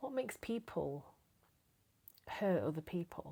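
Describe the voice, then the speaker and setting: The speaker has an English accent and a moderate pace, with very wide pitch swings. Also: woman. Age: 60s. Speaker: lifestyle vlogger. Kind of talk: casual monologue to camera. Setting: home, camera propped on packing box. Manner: hesitant, many fillers.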